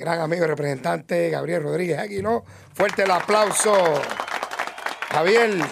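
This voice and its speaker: A man's fairly high-pitched voice with lively intonation, a fairly slow pace and long, frequent pauses, over crowd noise in the background. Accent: Puerto Rican. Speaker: radio reporter. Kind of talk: live radio segment. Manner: animated.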